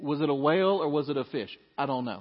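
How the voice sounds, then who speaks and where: An ordinary speaking voice from a man, fairly high in pitch, with lively intonation at a fairly quick pace. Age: 40s. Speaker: pastor. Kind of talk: Sunday sermon to a congregation, conversational expository preaching with humorous asides. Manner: conversational and relaxed, with fillers and self-corrections.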